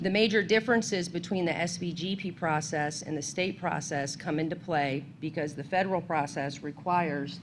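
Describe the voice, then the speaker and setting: A woman speaks at a moderate pace in a fairly low pitch. Her intonation is fairly even, and the room echo is audible. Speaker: state environmental agency staff presenter. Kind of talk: seminar presentation. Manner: loud.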